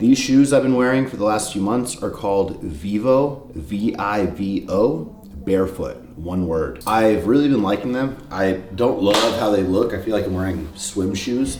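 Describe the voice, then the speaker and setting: Noticeable background noise and audible room echo frame the recording. A man with a fairly low pitch speaks at a fairly slow pace with lively intonation. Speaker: fitness vlogger. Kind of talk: casual vlog. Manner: casual, conversational.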